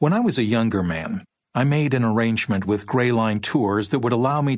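This man's medium-pitched voice, with ordinary pitch variation, moves at a moderate pace. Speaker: audiobook narrator. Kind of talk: reading aloud a first-person memoir account of driving a Hollywood tour bus. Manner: wry, sardonic, conversational storytelling; animated, mimicking tour-guide patter and a tourist's outburst.

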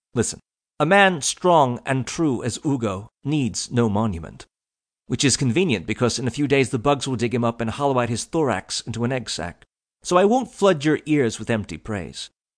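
An ordinary speaking voice with lively intonation at a moderate pace, against a quiet background. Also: man, medium pitch for a man. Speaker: audiobook narrator. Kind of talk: audiobook fiction narration, comic eulogy read in character. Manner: mock-solemn, formal.

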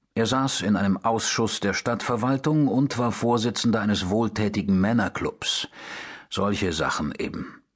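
A man speaks in a plain, everyday voice at medium pitch and a moderate pace. His pitch variation is ordinary, and the background is quiet. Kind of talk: audiobook narration. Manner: first-person noir narration, dry and matter-of-fact; shifts into character voices for dialogue.

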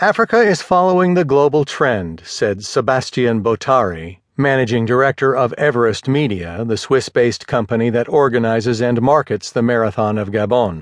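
Lively intonation marks a man's plain, everyday voice. He holds a medium pitch at a moderate pace. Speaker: audiobook narrator. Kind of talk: audiobook news article reading. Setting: studio. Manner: formal, even and measured, newsreader delivery.

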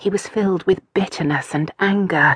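A woman with a normal speaking voice talks at a moderate pace with ordinary pitch variation, recorded in a dry, close sound with no echo. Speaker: audiobook narrator. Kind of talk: audiobook narration of a historical romance. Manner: measured, smooth storytelling pace.

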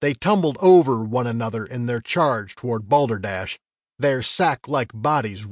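Quiet surroundings behind a natural reading voice

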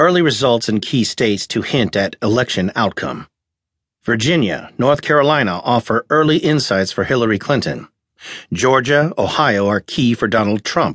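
In an unremarkable speaking voice, a man talks at a moderate pace and medium pitch with lively intonation and very even loudness, the sound dry and close with no echo against a quiet background. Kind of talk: scripted news headline reading. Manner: formal, brisk, even-toned newsreader delivery.

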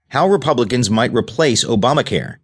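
Against a quiet background, a man with an ordinary speaking voice talks at a fairly quick pace with lively intonation. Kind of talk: news reading. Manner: formal; steady, even-paced headline delivery.

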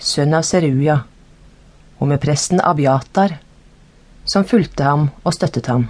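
Speaking at a very slow pace, a woman has a very deep, low pitch with ordinary pitch variation. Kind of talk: audiobook reading of scripture, narrated Bible text. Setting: studio. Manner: formal, steady, measured narration; even and unacted, no character voices.

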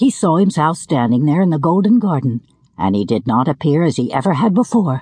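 A woman's very deep, low, somewhat breathy voice in an animated tone with very wide pitch swings, dry and close with no echo against a quiet background. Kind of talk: audiobook narration of a children's fairy tale. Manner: animated, storytelling, voicing characters.

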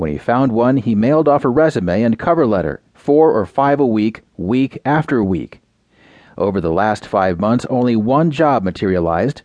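With an unremarkable speaking voice, a man uses lively intonation at a medium pitch and a moderate pace. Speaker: audio news narrator. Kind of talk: scripted news reading: newspaper headlines followed by a full feature article read aloud. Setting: studio. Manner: measured, even-paced newsreader delivery, crisp with clear enunciation; formal and neutral, reading numbers and figures out in full.

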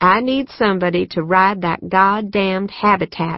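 Fairly even intonation, with reading aloud in a natural voice

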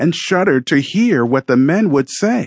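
A man talks at a fairly slow pace in a solemn tone, his pitch swinging very widely. The background is quiet. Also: dry, close sound with no echo. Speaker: audiobook narrator. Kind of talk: dramatic scripted narration, storytelling in first person as the ground. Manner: measured, theatrical, building suspense; formal, solemn, reverent.

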